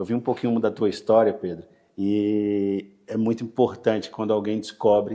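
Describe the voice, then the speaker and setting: Dark and mellow in tone, the voice delivers its words with monotone, flat intonation. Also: man. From Brazil, northern Bahia. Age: 40s. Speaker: real estate broker. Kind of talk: podcast interview.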